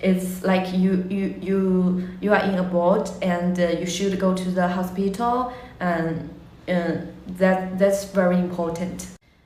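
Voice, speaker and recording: With a Chinese accent, a woman speaks very slowly in a flat monotone at a medium pitch, with audible room echo and noticeable background noise. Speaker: language teacher. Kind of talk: casual monologue. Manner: halting, many fillers.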